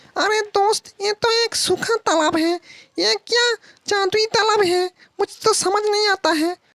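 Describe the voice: An extremely high-pitched cartoonish character voice moves along at a moderate pace.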